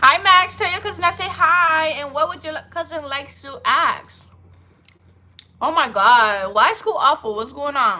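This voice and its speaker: A woman's raised, projected voice at an extremely high pitch, bright and sharp in tone, with very wide pitch swings, big swings in loudness, and a moderate pace. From Haiti. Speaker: livestreamer. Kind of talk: casual livestream chat.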